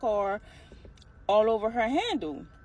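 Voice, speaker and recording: A woman talks with a fairly high pitch and ordinary pitch variation. Noticeable background noise runs under her voice. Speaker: storyteller vlogger. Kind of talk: casual storytelling. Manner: fast.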